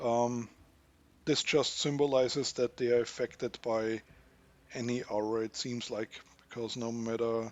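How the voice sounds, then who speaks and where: A man with a non-native accent, medium in pitch, his intonation monotone and flat. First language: not English. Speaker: gaming youtuber. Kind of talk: gameplay tutorial commentary. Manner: halting, self-correcting.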